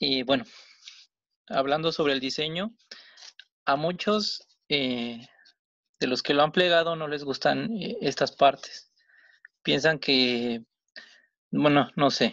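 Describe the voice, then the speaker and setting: Against a quiet background, a man with a fairly high pitch and ordinary pitch variation speaks at a very slow pace, with long, frequent pauses. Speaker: origami teacher. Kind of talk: tutorial. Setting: video call.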